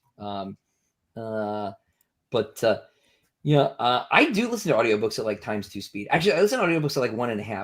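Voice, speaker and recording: In a very clean recording with a silent background, a man speaks at a very fast pace with big swings in loudness and very wide pitch swings. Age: 30s. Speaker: science fiction author. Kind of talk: casual chat. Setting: livestream with guests.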